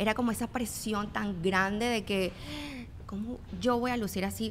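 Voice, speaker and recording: A woman with a Venezuelan accent speaks at a moderate pace. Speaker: fitness trainer and influencer. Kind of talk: casual interview chat.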